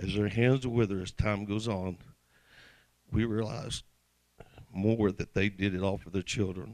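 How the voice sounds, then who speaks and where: In an American accent, a man with a fairly low pitch talks at a fairly slow pace, using fairly even intonation and long, frequent pauses. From US South, Mississippi. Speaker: football hall of fame inductee. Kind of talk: acceptance speech. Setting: banquet stage with audience. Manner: reading from prepared notes.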